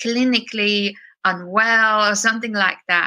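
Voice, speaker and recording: At a fairly slow pace, a woman talks in a bright, sharp tone with ordinary pitch variation. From China, moved to UK as teenager. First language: Chinese. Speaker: singer-songwriter and producer. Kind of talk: interview conversation. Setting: podcast interview.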